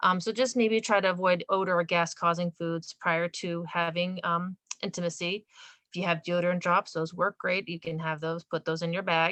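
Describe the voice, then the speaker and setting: A woman's voice has a bright, sharp tone at a fairly low pitch, with monotone, flat intonation. She speaks at a moderate pace in a dry, close sound with no echo. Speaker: nurse. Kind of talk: presentation.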